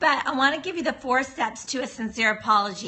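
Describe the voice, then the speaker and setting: A woman talks loudly at a moderate pace. Noticeable background noise runs under her voice. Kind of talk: livestream talk. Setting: live video stream. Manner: talking as loud as possible.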